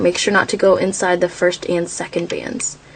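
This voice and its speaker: A woman talks at a medium pitch over noticeable background noise. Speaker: craft tutorial creator. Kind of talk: tutorial. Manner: slow.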